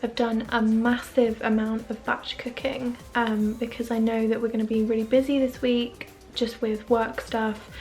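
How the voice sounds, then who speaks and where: A quiet woman's voice, fairly high in pitch, monotone and flat in intonation, at a moderate pace with music in the background. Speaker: lifestyle vlogger. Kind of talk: vlog to camera. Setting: at home. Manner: casual, chatty.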